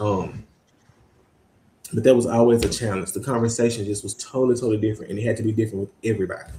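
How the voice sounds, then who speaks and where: Fairly low in pitch, a man talks at a very fast pace with fairly even intonation. His voice is somewhat breathy, with a dark, mellow tone. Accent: Mississippi. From US South, Mississippi Delta (Greenwood). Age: 20s. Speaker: university student advisor. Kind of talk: interview conversation.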